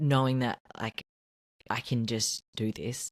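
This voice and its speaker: In a very clean recording with a silent background, a woman with an Australian accent speaks at a fairly slow pace with a very deep, low pitch, the sound dry and close with no echo. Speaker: podcast co-host. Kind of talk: casual chat. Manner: animated.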